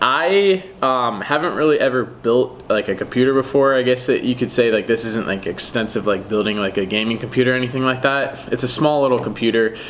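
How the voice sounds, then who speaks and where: A man talks at a fairly quick pace, his pitch varying in an ordinary way, with light background noise behind him. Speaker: car hobbyist vlogger. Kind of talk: casual vlog chat. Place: home room. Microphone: camera far.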